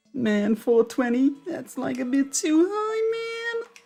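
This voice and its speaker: At a fairly slow pace, a put-on character voice pitched high leaps through very wide pitch swings. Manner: slacker, laid-back.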